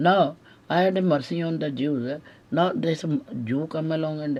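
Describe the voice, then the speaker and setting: Ordinary pitch variation and a moderate pace, in an Indian accent. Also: woman. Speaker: widow making accusations. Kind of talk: recorded monologue. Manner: halting, many fillers.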